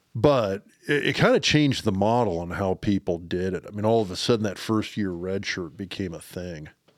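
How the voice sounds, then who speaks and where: A man with an American accent uses an ordinary speaking voice, fairly low in pitch. He talks at a fairly quick pace with hardly any pauses. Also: ordinary pitch variation. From Lincoln, Nebraska. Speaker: podcast co-host, former college football player. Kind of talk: casual chat. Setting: basement studio.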